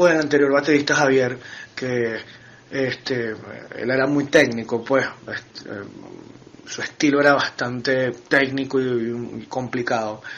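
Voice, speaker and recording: A man with a fairly high pitch is heard over noticeable background noise. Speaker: metal band drummer. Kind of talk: interview. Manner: halting.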